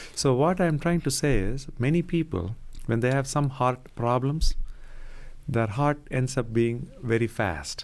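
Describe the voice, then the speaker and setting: This man speaks at a medium pitch with lively intonation. The recording is very clean, with a silent background. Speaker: cardiologist. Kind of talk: radio interview. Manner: soft-spoken; calm.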